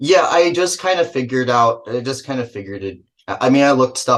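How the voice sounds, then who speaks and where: A man is speaking. He has an American accent. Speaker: film director and actor. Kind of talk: casual interview.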